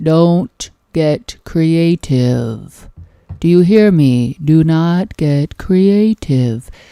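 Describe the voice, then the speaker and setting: In a put-on character voice with a stern tone, the speaker goes at a very slow pace at a middle pitch. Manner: stern, scary.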